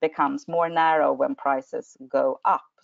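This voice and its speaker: This is a woman speaking with a Swedish accent. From Sweden. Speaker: energy regulator. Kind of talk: webinar presentation. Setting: online webinar. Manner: halting, many fillers.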